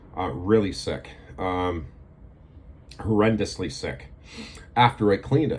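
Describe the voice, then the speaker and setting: This man's voice is somewhat breathy. It sits fairly low in pitch. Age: 60s. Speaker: video blogger. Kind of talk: casual monologue to camera. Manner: halting, many fillers.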